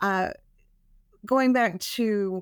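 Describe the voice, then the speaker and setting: A woman's normal speaking voice with an American accent, medium pitch and fairly even intonation, on a very clean recording with a silent background. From New Mexico, US Southwest. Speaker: tourism marketing director. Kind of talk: interview.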